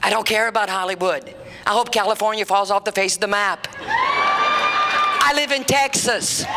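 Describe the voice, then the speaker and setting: With crowd noise in the background, a woman with an American accent speaks at a moderate pace in an animated tone and very even loudness. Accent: Cajun Louisiana Southern US. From Louisiana. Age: 60s. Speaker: comedian. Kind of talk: stand-up. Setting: stage with audience.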